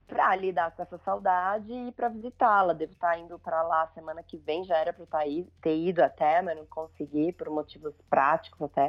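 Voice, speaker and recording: A woman speaks at a fairly quick pace in a fairly low pitch, with ordinary pitch variation. Her loudness swings widely, and music plays in the background. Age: 40s. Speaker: family documentary photographer. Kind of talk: casual interview chat.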